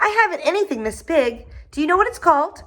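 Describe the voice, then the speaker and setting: A put-on character voice, extremely high and squeaky, with very wide pitch swings at a very fast pace. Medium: read story. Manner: curious, eager.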